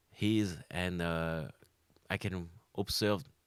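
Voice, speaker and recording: A man's very deep, low voice in a French accent, with fairly even intonation. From France, Caen. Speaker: comedian, former undertaker. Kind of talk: interview answer.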